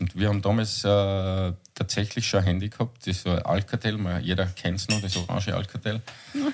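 Fairly low-pitched monotone, flat intonation from a man at a fairly quick pace. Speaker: podcast co-host. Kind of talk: casual chat.

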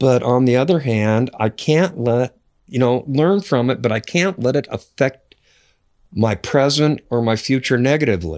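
A man's ordinary speaking voice at a medium pitch, with an American accent, lively intonation, very even loudness and a moderate pace, on a very clean recording with a silent background. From US Pacific Northwest, north central Washington. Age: 60s. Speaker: podcast guest. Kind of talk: casual interview. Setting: in person, Great Falls, Montana.

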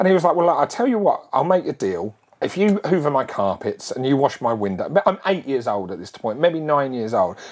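Hardly pausing, a man with a fairly high pitch talks at a fairly quick pace in an animated tone, his pitch swinging very widely. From Essex/East London, England. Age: 40s. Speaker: podcast host. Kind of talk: casual monologue.

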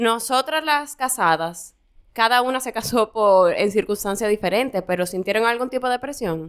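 A woman speaks in a plain, everyday voice, fairly high-pitched, at a moderate pace. Her intonation is lively, and the recording is very clean with a silent background. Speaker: podcast co-host. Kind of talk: casual chat. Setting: studio.

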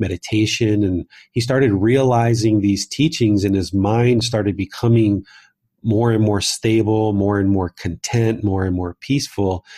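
Speaking at a moderate pace, a man with a fairly low, dark and mellow voice sounds somewhat breathy, his intonation fairly even, in a very clean recording with a silent background. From US, Southern Maryland. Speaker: meditation teacher and author. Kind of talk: interview conversation.

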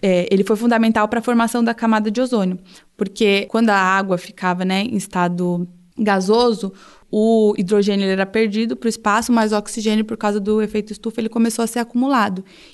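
A woman talks in a plain, everyday voice. Her pitch is fairly high and her pace fairly quick. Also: fairly even intonation. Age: 20s. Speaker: geologist. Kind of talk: casual science explanation.

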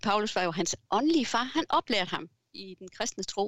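A woman speaks with very wide pitch swings, and the sound is dry and close with no echo. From Southern Jutland, Denmark. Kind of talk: interview. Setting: video call. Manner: hesitant, many fillers.

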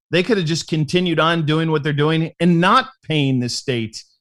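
Here a man speaks at a fairly high pitch. He keeps a moderate pace. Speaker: sports betting podcast co-host. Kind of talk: casual chat.

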